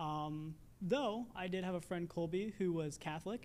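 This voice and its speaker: A man speaks with a Midwestern American accent. His voice is high in pitch. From Indiana, US Midwest. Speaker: air force bomb disposal technician. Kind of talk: testimony. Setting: church.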